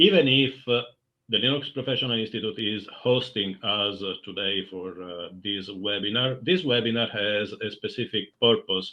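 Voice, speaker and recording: A man talks with an Italian accent at a moderate pace. He holds a medium pitch with ordinary pitch variation. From Italy. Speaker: community manager. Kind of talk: webinar introduction.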